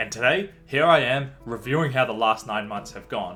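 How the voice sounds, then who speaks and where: A man's medium-pitched voice at a fairly quick pace, with music in the background. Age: 20s. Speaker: vlogger. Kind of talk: vlog monologue.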